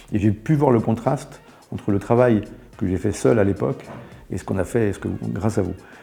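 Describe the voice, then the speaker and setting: With music in the background, a man speaks at a very fast pace in a fairly low pitch with ordinary pitch variation. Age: 60s. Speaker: company founder, entrepreneur. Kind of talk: interview. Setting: studio. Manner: halting, many fillers and repetitions.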